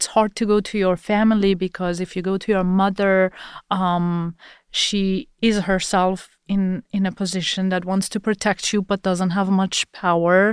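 A woman with a Persian accent speaks at a fairly slow pace in a flat monotone, on a very clean recording with a silent background. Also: medium pitch for a woman, dry, close sound with no echo. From Iran. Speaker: press freedom advocate. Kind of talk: interview.

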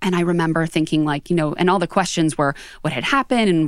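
A woman with an American accent and a fairly low pitch talks at a very fast pace. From Western Pennsylvania, outside Pittsburgh. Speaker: HR executive and author. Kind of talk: interview. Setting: studio.

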